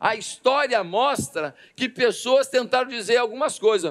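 Against a quiet background, a man speaks at a moderate pace with an animated tone and an extremely high pitch. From Brazil. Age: 50s. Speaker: pastor. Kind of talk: sermon. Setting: church service. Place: church. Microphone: headset.

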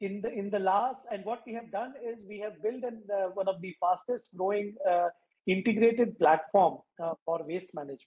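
In a quiet background, a man talks at a high pitch with ordinary pitch variation and big swings in loudness. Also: moderate pace. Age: 50s. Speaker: waste management entrepreneur; guest. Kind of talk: interview. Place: home room. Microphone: video call.

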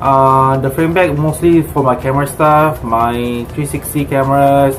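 A man at a fairly slow pace with fairly even intonation, clear music in the background. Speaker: cycling vlogger. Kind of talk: casual vlog chat. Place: home room. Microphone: phone near.

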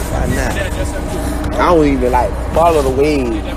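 Clear music plays in the background of this dry recording with no echo. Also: man. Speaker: livestreamer. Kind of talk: casual livestream chat. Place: boat. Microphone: phone near.

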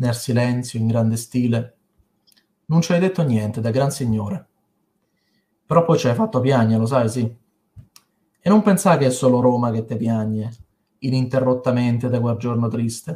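Somewhat breathy and dark, mellow in tone, a man's voice moves at a moderate pace with ordinary pitch variation. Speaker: poet. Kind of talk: poetry reading. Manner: emotional, heartfelt. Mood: tender, mournful tribute. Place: home room. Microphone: webcam.

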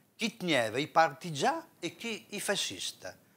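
A man is speaking. His pace is very slow. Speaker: poetry reciter. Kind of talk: dialect poetry reading. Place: studio. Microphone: lapel.

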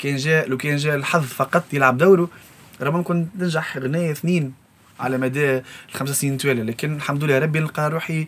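Here is a man with an unremarkable speaking voice, pitched fairly high. His pace is moderate and his pitch varies in an ordinary way. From Tunisia, Sfax; Tunisia. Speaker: music composer and arranger. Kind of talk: interview. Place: studio.

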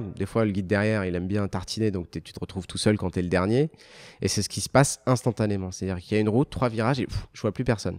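Very fast and fairly low, a man's voice has a dark, mellow tone with ordinary pitch variation. The background is quiet. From Algeria. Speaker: motorcycle TV show creator and journalist; motorcycle TV show creator, journalist. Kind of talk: casual interview. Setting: luxury car dealership. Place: office. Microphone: handheld.

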